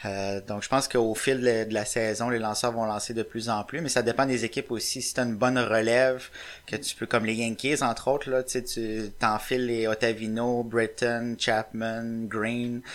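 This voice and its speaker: Speaking with a Quebec accent, a man keeps a moderate pace at medium pitch. His intonation is flat and monotone. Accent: Québécois French. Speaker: baseball website writer. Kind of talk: casual chat.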